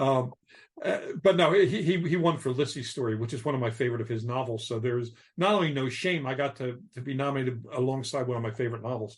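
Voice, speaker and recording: Somewhat breathy and very fast, a man with an American accent speaks at a medium pitch with ordinary pitch variation. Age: 60s. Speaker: novelist. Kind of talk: casual chat. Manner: halting.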